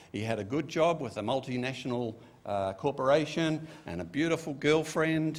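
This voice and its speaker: Fairly high-pitched man with an Australian accent. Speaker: pastor. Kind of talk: sermon. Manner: casual, conversational. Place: church. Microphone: podium.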